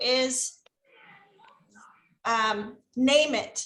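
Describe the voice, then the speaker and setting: A raised, projected voice with a bright, sharp tone speaks with an American accent. The intonation stays fairly even. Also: woman. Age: 50s. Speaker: teacher trainer, former volunteer teacher. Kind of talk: Q&A with teachers.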